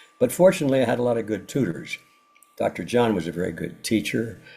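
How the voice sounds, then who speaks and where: A man's somewhat breathy voice with a dark, mellow tone, lively intonation and a fairly quick pace. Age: 90s. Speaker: author and researcher. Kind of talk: interview. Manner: halting, with frequent repetitions.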